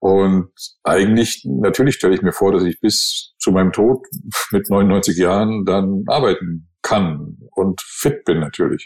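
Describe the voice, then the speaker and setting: Very slow speech at very even loudness, with ordinary pitch variation and music in the background. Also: man, fairly low pitch for a man. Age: 60s. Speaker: podcast co-host, advertising agency owner. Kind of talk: casual chat.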